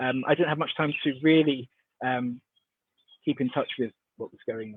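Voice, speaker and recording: A man with a British accent speaks with fairly even intonation but big swings in loudness. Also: fairly high pitch for a man, moderate pace. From UK. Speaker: dance artist, conference panelist. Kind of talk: online panel discussion. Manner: hesitant, many fillers.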